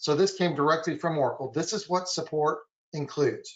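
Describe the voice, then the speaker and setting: A man with fairly even intonation. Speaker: software compliance consultant. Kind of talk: webinar presentation. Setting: online webinar. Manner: fast.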